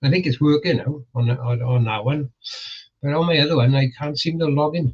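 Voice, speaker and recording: Somewhat breathy, a man with a fairly high pitch speaks at a fairly quick pace with fairly even intonation. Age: 60s. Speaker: multiboxing gamer streamer. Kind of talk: casual chat. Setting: live stream. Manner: halting.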